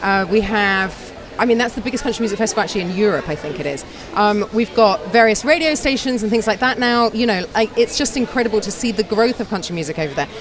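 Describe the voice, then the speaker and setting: Over noticeable background noise, a woman with a British accent talks very fast with lively intonation. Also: fairly high pitch for a woman. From UK. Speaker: radio host. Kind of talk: interview chat.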